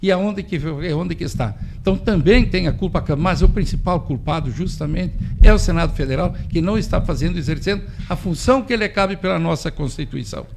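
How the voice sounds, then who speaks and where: Noticeable background noise sits behind a man with a high pitch. He talks at a fairly quick pace with lively intonation. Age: 60s. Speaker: farmer. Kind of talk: radio interview. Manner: animated.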